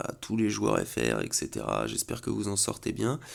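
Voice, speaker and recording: A male speaker comes through on a very clean recording against total silence. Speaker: gaming youtuber. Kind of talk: game commentary. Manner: halting.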